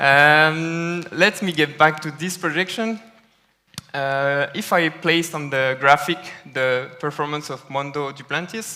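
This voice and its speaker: Speaking with a French accent, a man has a fairly high voice. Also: ordinary pitch variation. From France. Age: young. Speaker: data scientist. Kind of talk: conference talk. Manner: hesitant with fillers.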